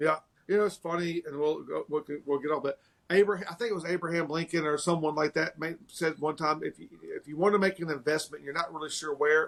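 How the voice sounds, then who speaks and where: A man with a strong Tennessee accent, fairly high in pitch, at a very fast pace and a fairly even intonation. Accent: thick Southern US (Tennessee). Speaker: martial arts school owner. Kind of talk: casual interview chat.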